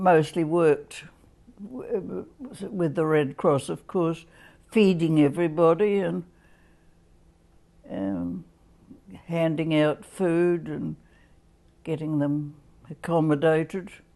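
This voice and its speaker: Very slow speech from a woman with an Australian accent, a fairly low pitch and a dark, mellow tone, over a quiet background. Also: ordinary pitch variation. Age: 80s+. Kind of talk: interview answer.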